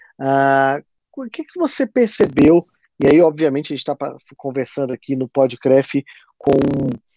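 A man's fairly high pitch with a dark, mellow tone, at a moderate pace, the sound dry and close with no echo. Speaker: podcast host and university lecturer. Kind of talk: interview. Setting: online call. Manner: casual.

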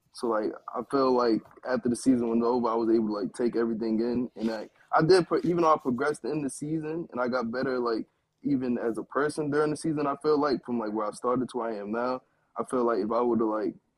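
A man's medium-pitched voice with an American accent, very fast pace, and ordinary pitch variation. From Brooklyn, New York. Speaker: esports pro gamer. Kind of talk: casual interview.

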